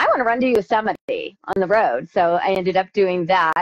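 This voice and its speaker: In a dry, close recording with no echo, a woman uses an ordinary speaking voice at a medium pitch with ordinary pitch variation. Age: 50s. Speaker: ultrarunner. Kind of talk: interview.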